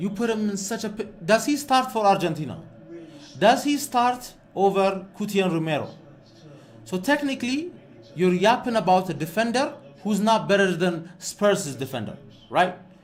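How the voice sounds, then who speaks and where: At a moderate pace, a high-pitched man speaks with lively intonation and long, frequent pauses. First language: Amharic. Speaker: football fan streamer. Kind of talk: live watch-along commentary. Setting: live stream. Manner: animated.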